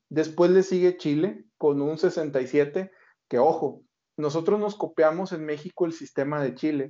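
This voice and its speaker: An unremarkable speaking voice with fairly even intonation and a fairly slow pace. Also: man, fairly high pitch for a man. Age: 40s. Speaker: retirement finance expert and author. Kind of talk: interview.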